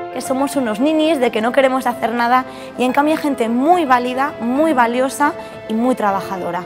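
A woman speaks at a fairly quick pace in a high pitch with ordinary pitch variation, clear music playing in the background. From Asturias, Spain. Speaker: chemical engineer, researcher. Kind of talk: interview answer. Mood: proud, warm. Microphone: lapel.

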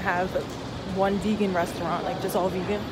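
Music is playing behind the voice. The speaker is a woman. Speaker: traveler vlogger. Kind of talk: casual vlog chat. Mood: annoyed, venting about baggage fees. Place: station. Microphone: phone near.

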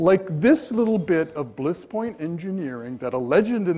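The speaker is a man. He goes at a moderate pace. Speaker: keynote speaker, journalist. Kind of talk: keynote lecture. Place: hall.

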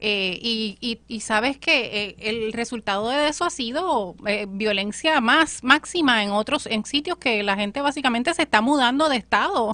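A woman speaks fairly slowly at a fairly high pitch with hardly any pauses. Her tone is bright and sharp, and her intonation lively. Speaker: political commentator. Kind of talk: political panel discussion.

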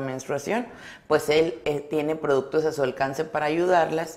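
Fairly even intonation carries speech that goes at a fairly slow pace. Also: woman. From Mexico, Sonora (Álamos); Sonora, Mexico. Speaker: educational psychologist; guest. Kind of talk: interview. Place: studio. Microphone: lapel.

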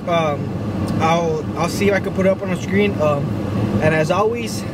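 A man talks at a moderate pace in a dry sound with no echo while loud background noise fills the clip. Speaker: vlogger. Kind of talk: casual vlog chat. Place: car. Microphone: phone near.

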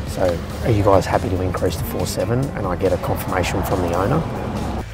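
A man talks while clear music plays behind him. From Australia. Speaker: auctioneer. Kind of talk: casual talk to camera, vlog. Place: street.

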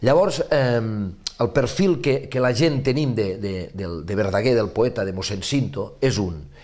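A man speaks with a western Catalan accent at a fairly slow pace. The background is quiet. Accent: Catalan, western (Ebre) dialect. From Ribera d'Ebre, Catalonia (Ascó); Catalonia. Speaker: novelist; interviewee. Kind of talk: interview. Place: studio. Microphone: lapel.

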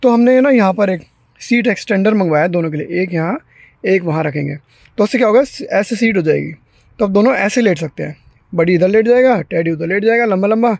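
A man's high voice at a moderate pace with ordinary pitch variation, in a dry sound with no echo and a quiet background. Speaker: family vlogger. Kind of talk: casual vlog chat. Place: garage. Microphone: phone near.

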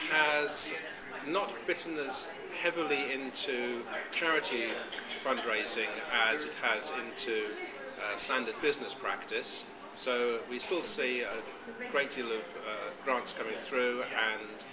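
A man's fairly slow speech with long, frequent pauses and noticeable background noise. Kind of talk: interview answer. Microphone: phone near.

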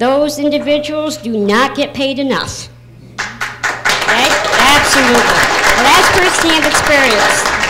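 Crowd noise fills the background as a woman talks at a fairly slow pace. Her pitch is high, her tone animated, and her pitch variation ordinary. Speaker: counselor; speaker. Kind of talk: rally speech; public testimony. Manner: animated, humorous. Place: meeting room. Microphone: handheld.

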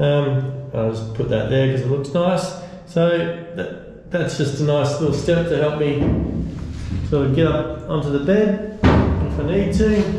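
Audible room echo and light background noise surround a man. He talks at a fairly slow pace with ordinary pitch variation. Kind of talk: casual vlog chat. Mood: pleased, upbeat. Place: boat. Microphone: phone near.

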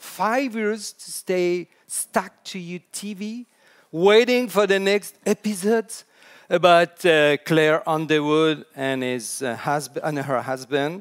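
In a quiet background, a man speaks at a very slow pace in a high pitch, with lively intonation and big swings in loudness. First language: French. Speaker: storytelling consultant. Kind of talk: conference talk. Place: hall.

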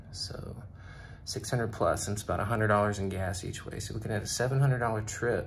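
A man's voice with vocal fry and ordinary pitch variation over light background noise. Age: 40s. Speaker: truck driver vlogger. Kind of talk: casual vlog monologue. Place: office. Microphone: phone near.

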